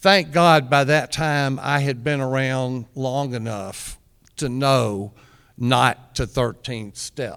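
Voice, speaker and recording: This man speaks at a very slow pace. His pitch varies in an ordinary way. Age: 60s. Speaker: recovering addict speaking on a recovery panel. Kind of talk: personal sharing at a recovery meeting. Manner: halting, many fillers and repeated words.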